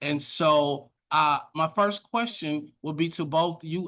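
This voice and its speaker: Speaking at a very slow pace against a quiet background, a man has a fairly high pitch and a bright, sharp tone. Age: 40s. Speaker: podcast host. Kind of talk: casual podcast chat.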